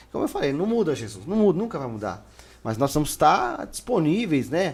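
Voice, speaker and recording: A man at a fairly high pitch with very wide pitch swings, vocal fry and a moderate pace. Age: 30s. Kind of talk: casual chat. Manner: animated.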